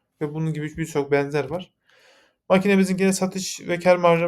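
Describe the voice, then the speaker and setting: Heard in a very clean recording with a silent background, a man speaks with high pitch and monotone, flat intonation. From Yozgat, Turkey. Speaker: mechanical engineer, company founder. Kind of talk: investor pitch presentation. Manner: formal, with frequent filler hesitations.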